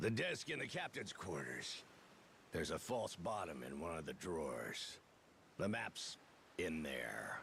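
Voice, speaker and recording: In a put-on character voice, someone talks raspily at a fairly slow pace with long, frequent pauses over clear background noise. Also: man, very deep, low pitch for a man. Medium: video game.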